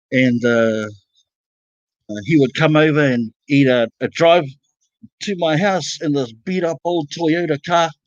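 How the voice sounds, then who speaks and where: A man with a New Zealand accent speaks at a fairly high pitch with ordinary pitch variation and long, frequent pauses. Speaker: panel guest telling a story. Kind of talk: casual storytelling on a livestream. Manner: halting, many fillers.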